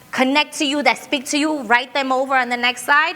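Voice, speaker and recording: A raised, projected voice with an American accent carries over noticeable background noise. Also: woman. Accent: Brooklyn accent with Spanish touch. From Brooklyn, New York. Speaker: diversity and inclusion speaker. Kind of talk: workshop talk. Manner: fast; conversational, checking in with audience.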